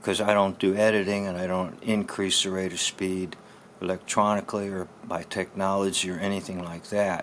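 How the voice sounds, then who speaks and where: The man's pitch is fairly low. He speaks with monotone, flat intonation. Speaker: pastor and former speech teacher. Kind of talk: tutorial. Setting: solo to camera. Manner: slow.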